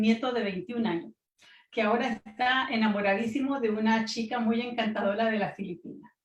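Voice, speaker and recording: A woman is speaking. Her pace is moderate. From Latin America. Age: 70s. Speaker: researcher, panelist. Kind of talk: panel talk. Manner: halting.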